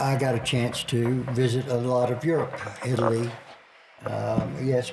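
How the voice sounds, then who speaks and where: At a fairly slow pace, a man talks at a medium pitch with very even loudness and fairly even intonation, amid audible room echo and noticeable background noise. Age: 70s. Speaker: retired Air Force veteran grandfather. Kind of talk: casual family interview. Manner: halting.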